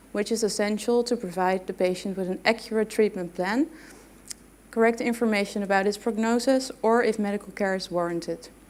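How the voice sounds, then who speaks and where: A woman with a non-native accent talks at a fairly quick pace. Her pitch is fairly high and her intonation fairly even. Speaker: physiotherapy researcher and lecturer. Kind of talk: conference presentation. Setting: stage with audience.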